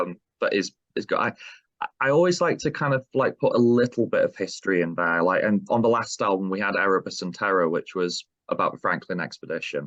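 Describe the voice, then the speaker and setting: Speaking at a very fast pace with a Yorkshire accent, a man is heard in a dry, close sound with no echo. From South Yorkshire, between Sheffield and Barnsley. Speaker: metal band vocalist. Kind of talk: interview. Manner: halting, many fillers.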